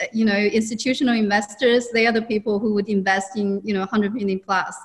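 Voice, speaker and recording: A woman's fairly high, monotone voice with flat intonation, in a Chinese accent, over noticeable background noise. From China. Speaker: businesswoman and mentor. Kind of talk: interview.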